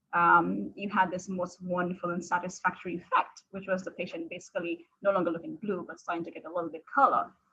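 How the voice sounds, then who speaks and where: A woman's medium-pitched voice at a fairly quick pace, with fairly even intonation. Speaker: critical care fellow physician. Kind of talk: lecture. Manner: fast.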